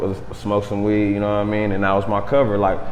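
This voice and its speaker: Amid noticeable background noise and audible room echo, a man with fairly low pitch speaks at a very fast pace. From Southern California (Los Angeles area). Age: 30s. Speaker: rapper. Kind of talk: casual interview. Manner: laid-back.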